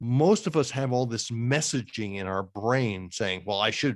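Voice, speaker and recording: Using a normal speaking voice, a man talks at a medium pitch and a fairly quick pace with lively intonation. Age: 60s. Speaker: career coach and author. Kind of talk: interview.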